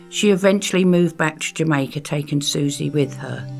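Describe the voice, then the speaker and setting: A woman speaks at a moderate pace with a very deep, low pitch. Music plays in the background. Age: 70s. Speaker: performance poet. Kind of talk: personal memoir narration.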